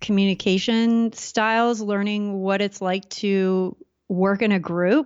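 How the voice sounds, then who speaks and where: Very slow and fairly even in intonation, a woman speaks at a medium pitch with an American accent. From Southern California. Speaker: entrepreneur. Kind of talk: casual interview.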